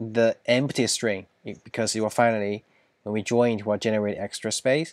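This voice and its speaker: A man with a non-native accent at a moderate pace, in a dry, close sound with no echo. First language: not English. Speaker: software engineer solving coding problems. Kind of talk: coding tutorial. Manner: halting, thinking aloud.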